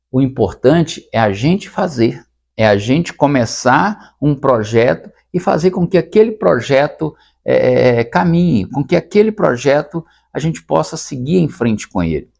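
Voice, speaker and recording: Fairly slow, fairly high-pitched male speech marked by vocal fry and very wide pitch swings. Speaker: retired teacher and comedy content creator. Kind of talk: casual talk to camera, podcast-style. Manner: hesitant, reflective.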